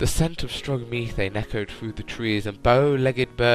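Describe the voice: The pitch varies in an ordinary way throughout this plain reading aloud.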